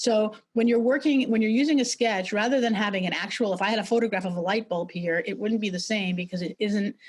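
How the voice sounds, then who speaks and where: Rattling along at a very fast pace with hardly any pauses, a woman with a New York accent and fairly high pitch shows ordinary pitch variation. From New York City. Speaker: brand strategist and sketching teacher; presenter. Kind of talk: webinar presentation; online workshop lecture. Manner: halting, many fillers and repetitions. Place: home room. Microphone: video call.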